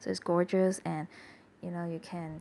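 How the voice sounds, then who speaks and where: Soft-spoken, a woman talks at a moderate pace. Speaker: journaling hobbyist. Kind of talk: casual voiceover narration.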